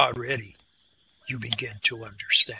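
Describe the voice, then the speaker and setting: Putting on a character voice, a man talks in a raspy tone at a medium pitch and a moderate pace. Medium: read story. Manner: slow, stern, dry.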